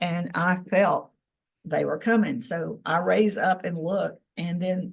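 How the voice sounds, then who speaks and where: Here a woman speaks with a Southern US accent and a fairly low pitch. Vocal fry shows up, and her pitch varies in an ordinary way. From Tennessee. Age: 60s. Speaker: experiencer of alien contact, former government employee. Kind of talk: interview testimony.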